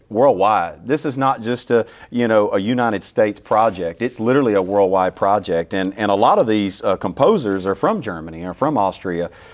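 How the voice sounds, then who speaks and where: With a Southern US accent, a man with a fairly low pitch talks at a moderate pace with hardly any pauses and ordinary pitch variation, on a very clean recording with a silent background. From US South, small-town Louisiana. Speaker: orchestra CEO. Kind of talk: interview. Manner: halting, many repeats.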